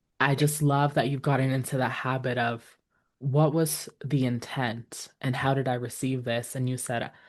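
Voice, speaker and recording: A woman's very deep, low voice, monotone and flat in intonation, at a moderate pace. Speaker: podcast host. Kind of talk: interview conversation.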